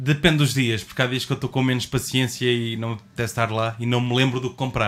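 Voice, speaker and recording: A man with a European Portuguese accent speaks with hardly any pauses on a very clean recording with a silent background. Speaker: podcast co-host. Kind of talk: casual chat.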